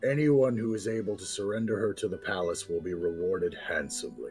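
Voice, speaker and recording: Over clear music in the background, a man puts on a character voice at a medium pitch and a fairly quick pace. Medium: actual play. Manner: pompous, declamatory.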